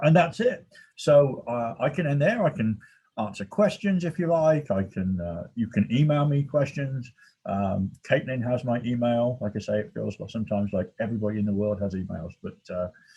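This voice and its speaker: Somewhat breathy and dark, mellow in tone, a man with an American accent speaks at a medium pitch and moderate pace with very wide pitch swings. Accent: English accent, jokingly called Texas. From England. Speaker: research scientist. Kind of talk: presentation. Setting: video call from his office. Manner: hesitant, many fillers.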